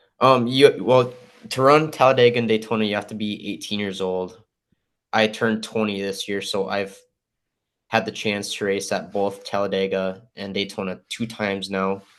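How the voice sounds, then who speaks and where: An American accent at a moderate pace, with fairly even intonation over a quiet background. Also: man, fairly low pitch for a man. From US Upper Midwest, North Dakota (West Fargo). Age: 20s. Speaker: racing driver, college student. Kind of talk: interview. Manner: hesitant, many ums.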